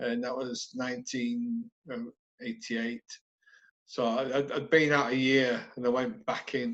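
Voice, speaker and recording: In a Yorkshire accent, a man speaks at a medium pitch and a fairly slow pace. His intonation stays fairly even. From northern England, West Yorkshire (Halifax). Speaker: army veteran. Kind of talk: casual interview.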